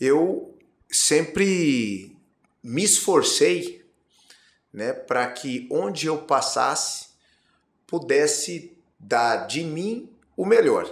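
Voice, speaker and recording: Amid audible room echo, a man talks at a very slow pace with long, frequent pauses. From Brazil, Campo Grande (Mato Grosso do Sul). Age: 40s. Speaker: politician. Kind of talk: interview. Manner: hesitant, many fillers.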